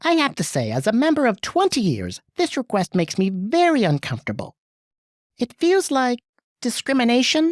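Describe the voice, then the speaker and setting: The voice sounds female, high-pitched, and is a put-on character voice. It moves at a moderate pace in a very clean recording with a silent background. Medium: audio drama. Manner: sharp, commanding.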